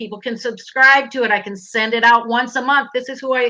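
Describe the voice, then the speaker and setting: With an American accent, a woman speaks high and animated in a bright, sharp tone against a quiet background. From Minnesota. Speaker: online business coach. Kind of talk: live stream interview. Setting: live stream video call.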